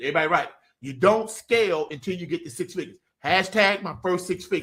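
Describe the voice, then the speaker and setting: A man's animated tone with lively intonation and a fairly quick pace. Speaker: business coach. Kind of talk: live online business training. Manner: fast.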